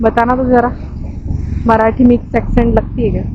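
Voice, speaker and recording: A woman speaks with a Marathi accent and fairly even intonation. Noticeable background noise sits behind her. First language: Marathi (speaking Hindi). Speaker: travel vlogger. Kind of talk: casual vlog.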